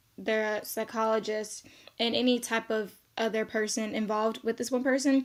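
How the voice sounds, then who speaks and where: In a very clean recording with a silent background, a woman uses a normal speaking voice, fairly high in pitch, with fairly even intonation at a moderate pace. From South Korea, US military base. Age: 20s. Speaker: social work student. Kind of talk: self-introduction video. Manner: casual, many fillers.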